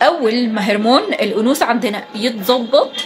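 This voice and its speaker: Through noticeable background noise, a woman with an Egyptian accent speaks at a high pitch with ordinary pitch variation. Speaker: beauty and lifestyle vlogger. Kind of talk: casual advice talk. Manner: calm, soft-spoken; hesitant fillers.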